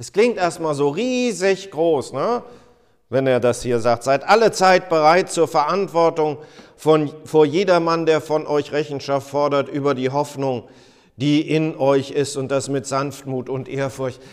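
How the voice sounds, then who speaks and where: A man has an unremarkable speaking voice with a fairly high pitch. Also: ordinary pitch variation, fairly slow pace. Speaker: pastor. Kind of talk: sermon. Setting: church. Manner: formal; earnest.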